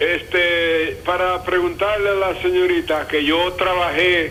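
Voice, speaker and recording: A man in a Dominican accent at a very slow pace and very even loudness, with audible room echo and noticeable background noise. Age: 70s. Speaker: caller. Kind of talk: call-in question.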